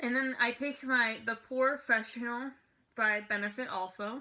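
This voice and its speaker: The voice belongs to a woman. Her tone is bright and sharp. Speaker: beauty vlogger. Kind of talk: tutorial. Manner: fast; chatty, rambling with fillers.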